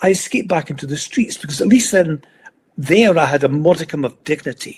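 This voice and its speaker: A man with a Scottish accent speaks at a moderate pace, his intonation lively. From Scotland, Edinburgh. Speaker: motivational speaker. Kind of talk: interview, life story.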